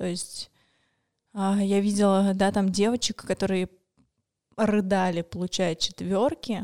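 Over a silent background in a very clean recording, a woman at medium pitch talks with monotone, flat intonation. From Moscow, Russia. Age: 20s. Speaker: suicide attempt survivor. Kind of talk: testimony.

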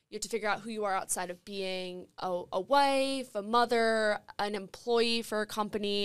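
A woman speaks in a normal speaking voice with fairly even intonation. The recording is very clean, with a silent background. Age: 20s. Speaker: former college athlete and advocate. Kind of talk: panel discussion.

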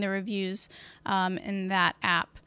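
Her voice bright and sharp, a woman speaks at a medium pitch and fairly slow pace in a dry, close sound with no echo. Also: very clean recording, silent background. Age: 30s. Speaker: podcaster and online business consultant. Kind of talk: live solo Q and A on social media. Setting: Facebook Live from home. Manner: casual, filler-heavy.

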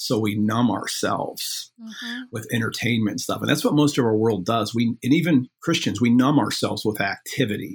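The voice is somewhat breathy, with ordinary pitch variation. There are hardly any pauses. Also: man, medium pitch for a man. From US Midwest. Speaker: professor of biblical studies and author. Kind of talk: interview conversation. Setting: podcast interview. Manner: fast.

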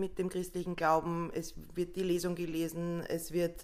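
A woman of medium pitch talks fairly slowly in an ordinary speaking voice. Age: 30s. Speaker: social worker running a shelter. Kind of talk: casual chat.

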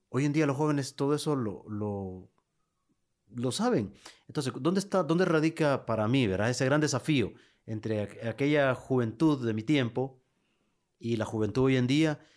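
This man has an unremarkable speaking voice, medium in pitch, with ordinary pitch variation. He talks at a moderate pace on a very clean recording with a silent background. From Honduras, Lepaterique. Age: 40s. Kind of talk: interview.

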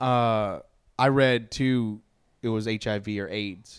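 In a very clean recording with a silent background, a man speaks at a medium pitch with fairly even intonation. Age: 30s. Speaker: podcast host. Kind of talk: casual chat.

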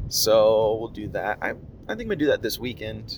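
A man is speaking. His pace is moderate. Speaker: podcaster. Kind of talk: casual solo monologue. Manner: rambling, casual.

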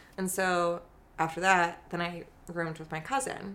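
In an American accent, a woman speaks at a medium pitch with a bright, sharp tone. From Chicago northwest suburbs, US Midwest. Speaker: guest sharing personal story. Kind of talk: casual interview chat.

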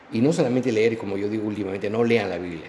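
Noticeable background noise is in the recording. The voice belongs to a man. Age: old. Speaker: pastor. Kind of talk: interview. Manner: halting.

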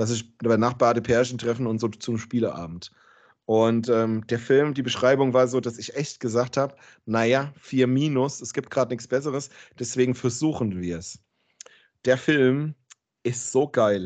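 This is an unremarkable speaking voice from a man at medium pitch with ordinary pitch variation. He keeps a moderate pace against a quiet background. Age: 40s. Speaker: podcast host. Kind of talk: casual chat.

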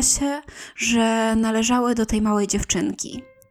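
A woman speaks at a fairly slow pace with fairly even intonation and a fairly high pitch, on a very clean recording with a silent background. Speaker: podcast host. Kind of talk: true-crime narration, read in a calm, serious storytelling tone. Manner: measured, even and unhurried, formal and factual, with little emotion; nervous at first, slightly tentative.

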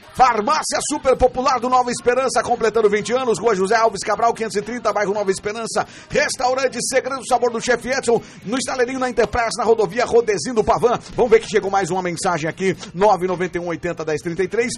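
With noticeable background noise present, a high-pitched man talks using ordinary pitch variation. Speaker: radio host and pastor. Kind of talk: casual radio show chat; read-out ads. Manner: animated.

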